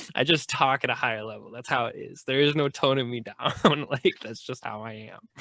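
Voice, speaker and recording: Loud and fairly quick, a man speaks with fairly even intonation and hardly any pauses. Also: medium pitch for a man. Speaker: podcast host. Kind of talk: casual chat. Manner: casual, filler-heavy speech.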